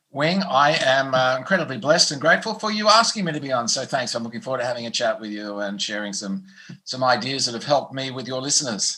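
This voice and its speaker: Very fast speech from a man at medium pitch, with very wide pitch swings. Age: 60s. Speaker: performance coach and motivational speaker. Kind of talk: podcast interview.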